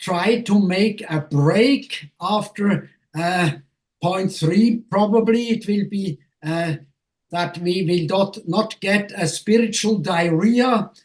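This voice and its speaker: A man speaks at a very slow pace. His pitch is high, with ordinary variation. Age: 70s. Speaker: professor. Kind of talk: lecture. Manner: halting, many fillers.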